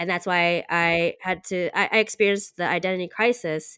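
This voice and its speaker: Here a woman with a normal speaking voice talks at medium pitch and a moderate pace, on a very clean, dry, close recording with no echo and a silent background. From US, Taiwanese American family. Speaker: podcast co-host. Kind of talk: casual chat.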